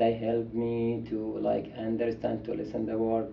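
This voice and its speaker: A man with a Saudi accent at medium pitch, monotone and flat in intonation, fairly slow in pace, with audible room echo. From Saudi Arabia. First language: Arabic. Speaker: international student. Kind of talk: interview.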